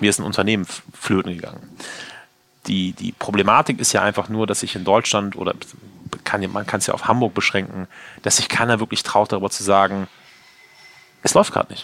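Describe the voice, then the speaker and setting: Long, frequent pauses break up a man's monotone, flat intonation. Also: fairly low pitch for a man, fairly quick pace. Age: 30s. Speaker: chef and restaurant owner. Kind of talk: interview. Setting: in his restaurant.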